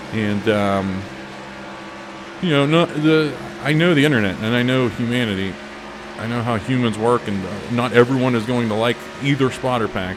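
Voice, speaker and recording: With a Pittsburgh accent, a man talks at medium pitch and a moderate pace with ordinary pitch variation. Long, frequent pauses break up his speech, and background noise is noticeable. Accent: Pittsburgh Yinzer accent, played up slightly. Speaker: racing game video creator. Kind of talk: casual chat. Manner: halting, many fillers.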